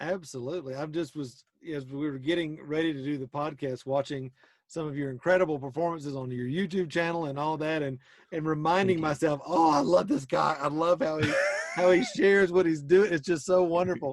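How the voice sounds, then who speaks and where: The man's intonation stays fairly even. He moves along at a fairly quick pace. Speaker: podcast host. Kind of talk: podcast interview host.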